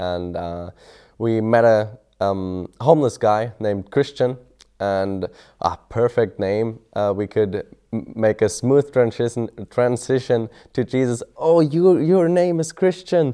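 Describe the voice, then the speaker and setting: With a German accent, a man speaks at a very slow pace, his medium-pitched voice dark and mellow, with lively intonation over a quiet background. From Germany. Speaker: mission student. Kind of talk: testimony. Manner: halting.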